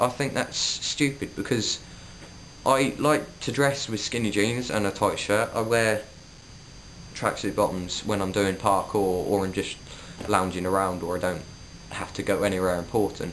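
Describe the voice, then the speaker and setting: A man with a Suffolk accent talks at a fairly low pitch with ordinary pitch variation, leaving long, frequent pauses. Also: moderate pace. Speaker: vlogger. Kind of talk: casual vlog monologue.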